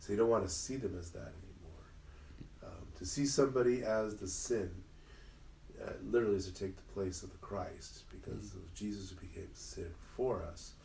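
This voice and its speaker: Speaking at a moderate pace with an American accent, a man's voice swings widely in loudness amid audible room echo. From Southern California, Inland Empire. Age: 50s. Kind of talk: casual interview conversation. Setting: parish, in-person with small audience.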